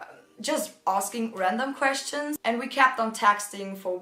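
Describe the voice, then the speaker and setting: An animated woman's voice with a German accent, fairly high in pitch, at a moderate pace with ordinary pitch variation amid noticeable background noise. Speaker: youtuber. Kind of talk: storytime vlog. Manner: casual, animated.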